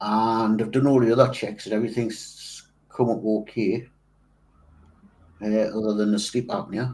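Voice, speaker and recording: A man speaks at medium pitch and a moderate pace. His intonation is monotone and flat. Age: 60s. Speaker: model making channel host. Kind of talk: casual chat. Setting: live stream. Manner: halting.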